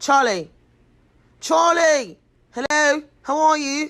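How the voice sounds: A put-on character voice in an English accent, high-pitched and very slow.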